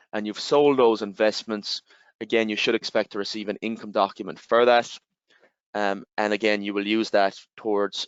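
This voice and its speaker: A man with an Irish accent, fairly low in pitch, at a moderate pace and in a monotone, flat intonation. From Ireland. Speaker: tax software representative. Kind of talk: webinar presentation. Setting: online webinar.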